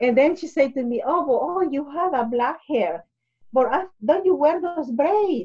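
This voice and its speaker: A woman with a Spanish accent and very wide pitch swings. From Honduras. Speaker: immigrant guest. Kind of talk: casual interview, personal testimony. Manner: halting, hesitant with filler words.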